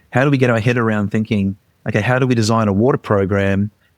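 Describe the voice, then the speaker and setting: Speaking at a very fast pace with an Australian accent, a man with a fairly low pitch comes through in a dry, close sound with no echo. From Australia, Queensland. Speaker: charity leader. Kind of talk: interview. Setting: remote call. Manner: hesitant, many fillers.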